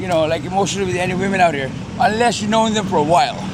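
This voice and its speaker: Heard with audible room echo and noticeable background noise, the speaker has an American accent and ordinary pitch variation. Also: man. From Philippines, later grew up in West Covina, California. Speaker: deportee living in Manila. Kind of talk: casual interview chat.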